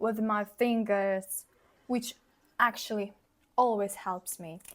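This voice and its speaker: At a very slow pace, a woman with a non-native accent speaks at a fairly high pitch and with fairly even intonation. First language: not English. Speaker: beauty vlogger. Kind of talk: tutorial. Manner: casual.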